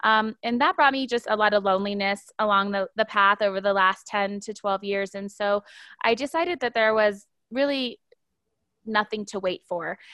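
A woman with an American accent speaks at a moderate pace in a medium pitch, using an unremarkable speaking voice and ordinary pitch variation. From US, Air Force family. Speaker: interior design entrepreneur. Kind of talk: interview. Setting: podcast recording.

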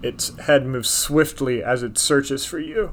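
A man with a fairly high pitch speaks at a fairly slow pace. It is an ordinary speaking voice. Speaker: game master. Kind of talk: tabletop role-playing game session, casual banter and narration.

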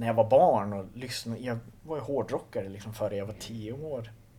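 A man's medium-pitched, somewhat breathy voice, dark and mellow in tone, with ordinary pitch variation. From northern Sweden, Skellefteå area. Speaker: punk musician. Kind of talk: casual interview. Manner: halting, repeats words.

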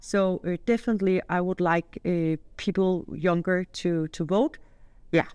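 A woman speaks fairly slowly at a medium pitch. The sound is dry and close, with no echo. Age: 40s. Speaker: citizen discussion participant. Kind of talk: casual group discussion. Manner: hesitant, many fillers.

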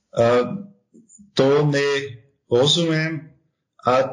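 In a German accent, a man speaks at a fairly high pitch. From Austria. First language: German (speaking Slovak). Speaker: tax advisory firm partner. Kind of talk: interview. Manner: halting, with many hesitations.

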